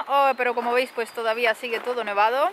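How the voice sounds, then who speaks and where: At a moderate pace, a woman speaks with a high pitch in a dry sound with no echo and light background noise. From Spain, Alicante. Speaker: travel vlogger. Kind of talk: casual vlog. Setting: outdoors in snow. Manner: animated. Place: open country. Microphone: phone near.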